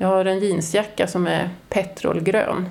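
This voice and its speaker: A woman has an ordinary speaking voice with a medium pitch. She talks at a fairly slow pace. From northern Sweden (Norrland). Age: 50s. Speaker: audio describer and artist. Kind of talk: interview. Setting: opera house foyer.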